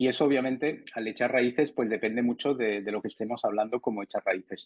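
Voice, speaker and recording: A man's medium-pitched voice races along at a very fast pace, its intonation fairly even. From France, Spanish parents from León. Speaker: interviewee sharing work experience. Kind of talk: interview. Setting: studio. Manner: halting, many repetitions.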